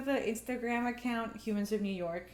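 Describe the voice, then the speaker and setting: A woman speaks in a fairly high pitch with a Spanish accent. The room echo is audible. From Mexico, moved to Canada at eight. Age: 30s. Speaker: artist and filmmaker. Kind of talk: casual interview conversation. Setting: at her home.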